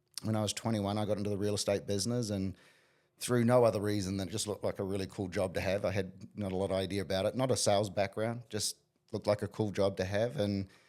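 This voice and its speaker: In a very clean recording with a silent background, a man talks very fast at a fairly low pitch with monotone, flat intonation. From New Zealand, small town. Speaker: business coach. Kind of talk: interview.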